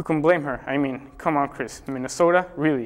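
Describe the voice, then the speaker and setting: Speaking at a fairly quick pace, a man uses a normal speaking voice with ordinary pitch variation. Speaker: spoof news anchor. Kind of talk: mock news broadcast, satirical anchor delivery.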